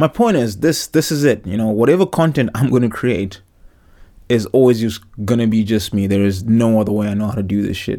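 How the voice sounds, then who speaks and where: A man's dark, mellow tone at a fairly quick pace. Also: medium pitch for a man, ordinary pitch variation. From Zimbabwe. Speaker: podcast host, former rugby player. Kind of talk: solo casual monologue. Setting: home recording in a wardrobe.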